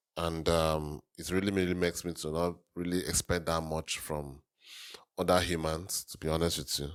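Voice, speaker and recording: A man's very deep, low voice in a flat monotone at a moderate pace. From Nigeria. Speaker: reaction video host. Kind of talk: casual reaction commentary. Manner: hesitant, with fillers and repetitions.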